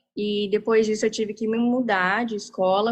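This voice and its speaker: A woman speaks at a medium pitch. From Japan. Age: 20s. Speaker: university student. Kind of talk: panel talk.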